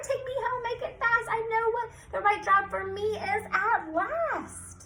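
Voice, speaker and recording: Squeaky and extremely high, a put-on character voice goes at a fairly slow pace over light background noise. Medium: read story.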